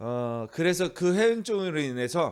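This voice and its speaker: The pace is very slow. The recording is very clean, and the background is silent. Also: man. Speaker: pastor. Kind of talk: sermon. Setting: church. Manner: halting, many fillers.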